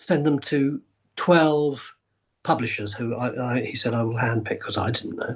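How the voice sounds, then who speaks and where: Ordinary pitch variation from a man with an English accent. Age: 70s. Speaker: actor, writer, historian. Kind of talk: podcast interview answer.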